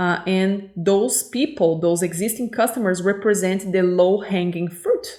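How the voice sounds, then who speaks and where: A woman at a medium pitch and fairly slow pace. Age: 30s. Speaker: English teacher. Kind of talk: lesson. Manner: hesitant, many fillers.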